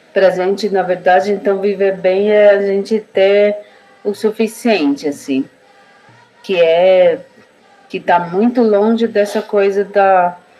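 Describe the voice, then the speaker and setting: A woman speaks at a medium pitch with fairly even intonation and a very slow pace. Music plays in the background. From Brazil, Guarani village in southern São Paulo. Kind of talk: casual interview conversation.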